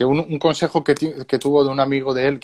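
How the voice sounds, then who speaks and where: A man at a very fast pace, medium in pitch, with a Spanish accent, over a quiet background. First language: Spanish (speaking French). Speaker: interpreter and trombone school host. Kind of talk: consecutive interpreting. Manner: halting.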